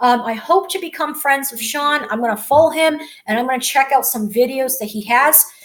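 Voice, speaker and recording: Over noticeable background noise, a woman with a high pitch talks at a fairly quick pace with ordinary pitch variation. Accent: American. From United States. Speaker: vlogger. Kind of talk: casual video message. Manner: halting, many fillers.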